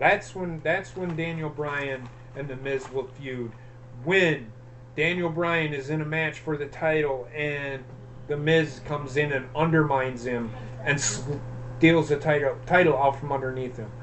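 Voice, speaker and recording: Against noticeable background noise and audible room echo, a man talks at a fairly high pitch with fairly even intonation. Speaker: wrestling show host. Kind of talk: casual chat. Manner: halting, stuttering.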